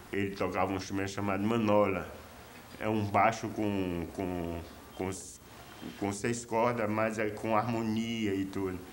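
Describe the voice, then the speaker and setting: In a room with audible echo, a man with a fairly low voice speaks fairly slowly in a monotone, flat way, with long, frequent pauses. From Brazil, Pernambuco (Olinda). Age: 60s. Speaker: musician. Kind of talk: documentary interview.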